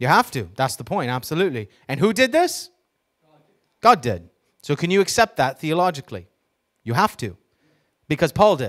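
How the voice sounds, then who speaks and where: Against a quiet background, a man with vocal fry talks at a moderate pace, his pitch swinging very widely. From New York. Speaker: preacher. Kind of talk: sermon. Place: church. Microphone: handheld.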